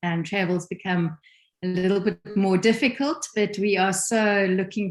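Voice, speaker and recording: Music plays in the background as a woman with a South African accent speaks at a fairly slow pace, her pitch medium and her pitch variation ordinary. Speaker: ministry leader, musician. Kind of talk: casual conversational interview.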